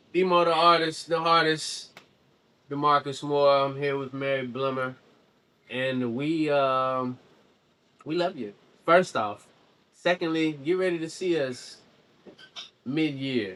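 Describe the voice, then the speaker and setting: Speech comes at a fairly slow pace, broken by long, frequent pauses. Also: man, fairly high pitch for a man, ordinary pitch variation. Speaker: podcast host. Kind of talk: casual interview chat. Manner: loud; animated.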